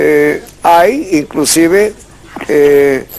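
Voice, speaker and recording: This man has a normal speaking voice pitched fairly high, with ordinary pitch variation. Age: 60s. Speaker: language expert. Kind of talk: call-in radio-TV show.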